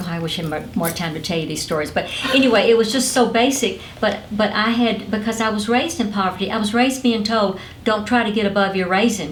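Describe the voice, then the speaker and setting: A woman with a Southern US accent talks very fast at a medium pitch with ordinary pitch variation, amid audible room echo and noticeable background noise. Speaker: motivational speaker and former network marketing company president. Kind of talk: interview. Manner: animated.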